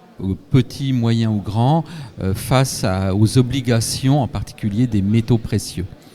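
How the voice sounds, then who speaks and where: Music sounds in the background. A man speaks at a very slow pace. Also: medium pitch for a man, ordinary pitch variation. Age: 60s. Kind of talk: live event interview.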